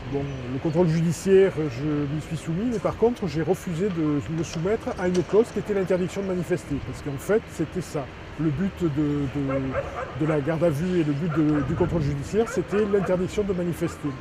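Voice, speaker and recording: At a moderate pace, a man with a high pitch and ordinary pitch variation talks over noticeable background noise. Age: 60s. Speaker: protest activist. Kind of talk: testimony. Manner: halting, frequent hesitations.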